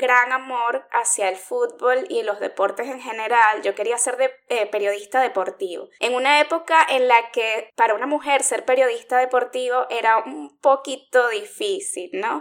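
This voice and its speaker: A woman talks at a fairly slow pace with a high pitch. Her intonation is lively. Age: 40s. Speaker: podcast co-host. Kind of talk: casual chat.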